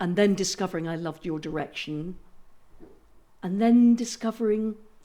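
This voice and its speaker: Her pitch medium and her pitch variation ordinary, a woman with an English accent speaks at a moderate pace in a dark, mellow tone. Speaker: actress. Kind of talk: casual chat.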